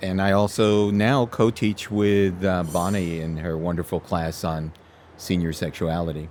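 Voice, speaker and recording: With an American accent, a man speaks fairly slowly in a very deep, low voice with fairly even intonation, on a very clean recording with a silent background. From New York City (Brooklyn). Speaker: family physician. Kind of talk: interview.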